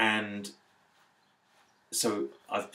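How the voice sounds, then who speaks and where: This man has a fairly low pitch. Vocal fry runs through his voice. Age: 40s. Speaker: fitness client. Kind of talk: interview. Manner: halting.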